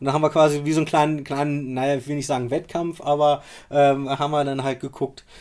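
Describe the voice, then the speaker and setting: A man's fairly high-pitched, very fast delivery in a flat monotone. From Rostock, northeastern Germany. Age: 30s. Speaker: geocacher and cache builder. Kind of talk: casual chat. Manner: halting, many fillers.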